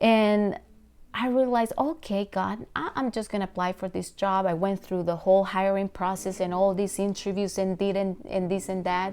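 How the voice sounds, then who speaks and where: In a very clean recording with a silent background, a woman speaks with a Latin American accent at medium pitch. Her pace is moderate and her intonation fairly even. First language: Spanish. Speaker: pastor. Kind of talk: devotional talk.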